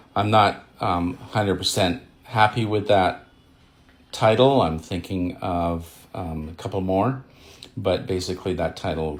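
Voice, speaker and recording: Very deep and low in pitch, a man's somewhat breathy voice moves at a fairly slow pace with ordinary pitch variation. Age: 60s. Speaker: retired writer and social media beginner. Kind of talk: casual video monologue. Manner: halting, many fillers and repetitions.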